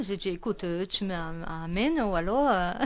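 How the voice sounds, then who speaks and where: A woman's medium-pitched voice with a Brazilian accent. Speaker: singer. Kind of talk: radio interview. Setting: radio studio.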